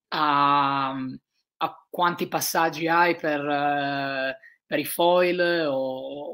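A woman's very deep, low voice in a monotone, flat delivery against a quiet background. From Italy, Trieste; Italy. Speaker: ocean sailor; guest. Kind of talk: interview.

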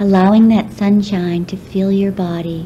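A woman speaks at a medium pitch in a monotone, flat delivery. Background noise is noticeable throughout. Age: 40s. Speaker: relaxation guide. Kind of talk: guided relaxation. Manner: slow, soft-spoken.

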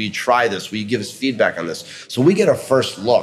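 There is light background noise. A man talks at a fairly quick pace. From New York City. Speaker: restaurant executive; guest. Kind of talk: interview. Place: hall. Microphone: studio mic.

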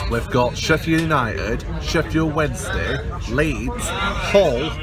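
Someone speaks at a very slow pace over music in the background. The sound is dry, with no echo. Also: man. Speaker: football fan vlogger. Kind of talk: casual vlog chat. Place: train. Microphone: phone near.

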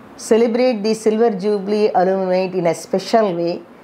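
Ordinary pitch variation from a woman speaking at a moderate pace. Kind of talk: promotional address to alumni. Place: office. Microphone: lapel.

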